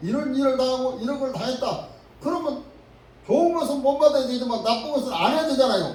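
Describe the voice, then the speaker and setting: A man speaks at a fairly quick pace in an extremely high pitch with ordinary pitch variation. Audible room echo and noticeable background noise fill the recording. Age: 80s+. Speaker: pastor. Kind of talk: sermon.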